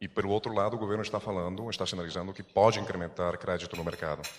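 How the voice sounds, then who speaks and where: A man speaks at a very fast pace with a very deep, low pitch. His intonation stays fairly even. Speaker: news agency journalist. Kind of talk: press conference question.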